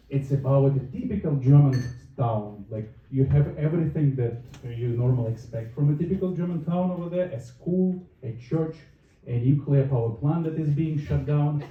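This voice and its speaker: Speaking in a Russian accent, a man with a fairly high, somewhat breathy voice keeps a moderate pace in a room with audible echo. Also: ordinary pitch variation. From northern Russia. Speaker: stand-up comedian. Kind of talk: stand-up.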